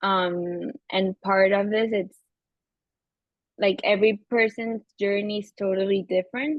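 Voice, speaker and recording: Speaking at a fairly slow pace, a woman with a Venezuelan accent keeps a medium pitch and fairly even intonation. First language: Spanish. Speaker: therapist. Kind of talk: interview.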